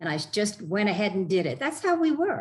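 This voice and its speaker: A woman's voice, somewhat breathy, rises and falls with lively intonation. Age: 70s. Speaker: triathlete and health advocate. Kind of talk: interview. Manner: animated.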